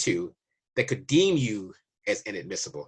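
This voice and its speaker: Recorded against a quiet background, a man with an American accent speaks at medium pitch in a somewhat breathy voice. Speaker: immigration waiver consultant. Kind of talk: casual informational monologue. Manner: conversational, loose.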